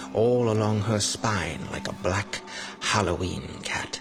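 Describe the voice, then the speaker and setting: With music in the background, a man speaks at a very slow pace, his fairly low pitch carried by lively intonation. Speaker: voice actor. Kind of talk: second-person horror story narration.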